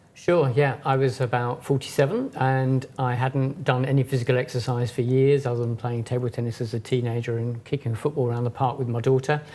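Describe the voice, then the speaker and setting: The speech moves at a fairly quick pace with hardly any pauses. Its intonation is monotone and flat. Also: man, medium pitch for a man. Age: 60s. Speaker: yoga teacher, festival founder. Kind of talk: interview.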